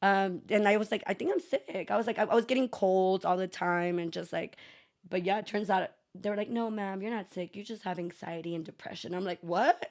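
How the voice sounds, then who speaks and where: A fairly quick American accent on a very clean recording with a silent background. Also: woman, medium pitch for a woman. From Texas, El Paso. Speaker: entrepreneur and former teacher. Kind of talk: casual chat. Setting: living room. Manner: animated.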